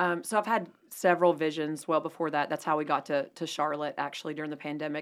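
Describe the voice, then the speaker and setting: On a very clean recording with a silent background, a woman with an American accent talks very fast at a very deep, low pitch, her intonation fairly even. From North Carolina, Asheville. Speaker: real estate agent. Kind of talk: radio interview.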